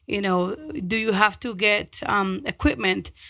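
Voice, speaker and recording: In a Spanish accent, a woman speaks at a medium pitch with a bright, sharp tone and fairly even intonation. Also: very clean recording, silent background. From Mexico, then North Denver from age 13. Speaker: community nonprofit leader. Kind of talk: interview.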